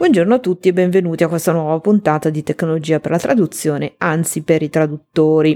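A woman talks very fast in a fairly low pitch, with fairly even intonation and hardly any pauses. Music plays in the background, and the sound is dry and close with no echo. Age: 40s. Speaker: translator and podcast host. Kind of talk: solo podcast talk.

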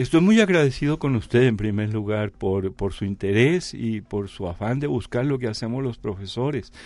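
A man with an ordinary speaking voice talks at a medium pitch and moderate pace. His intonation is lively, and he hardly pauses. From Mexico, Jalisco. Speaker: researcher and author. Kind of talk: interview.

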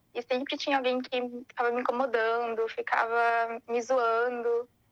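This is a woman speaking. Her pitch is high. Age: 20s. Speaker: interviewee sharing mental health experience. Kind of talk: personal testimony.

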